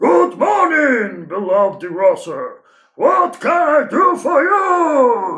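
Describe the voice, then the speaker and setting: A man shouting in a put-on character voice, extremely high in pitch, at a very slow pace. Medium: read story.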